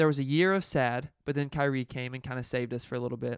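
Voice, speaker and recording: In an unremarkable speaking voice, a man talks at a fairly quick pace with a fairly high pitch. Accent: American. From Indiana. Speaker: guest, casual basketball fan. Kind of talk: casual chat.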